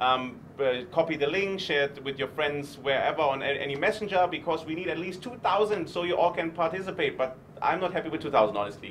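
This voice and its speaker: A man with a German accent, fairly high in pitch, at a very fast pace with hardly any pauses and ordinary pitch variation, over noticeable background noise. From Germany. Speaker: startup investor. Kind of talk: live stream interview. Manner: animated.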